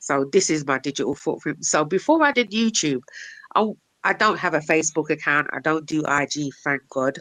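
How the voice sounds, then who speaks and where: In a dry, close sound with no echo, a woman with a very deep, low pitch and a bright, sharp tone talks at a moderate pace with ordinary pitch variation. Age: 40s. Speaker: livestreamer. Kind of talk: casual chat. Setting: live stream.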